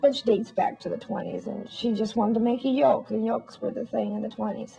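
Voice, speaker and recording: There's noticeable noise behind the speaker. She is a woman with an American accent. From Massachusetts. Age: 60s. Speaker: crochet lace maker. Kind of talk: interview. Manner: halting.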